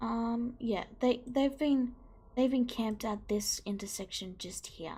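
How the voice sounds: A woman talks at a slow pace with a dark, mellow tone. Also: fairly high pitch for a woman, ordinary pitch variation.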